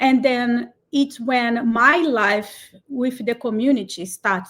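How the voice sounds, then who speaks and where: A woman speaks with a Brazilian Portuguese accent. Her pitch is high. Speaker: cloud community builder. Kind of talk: interview. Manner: animated.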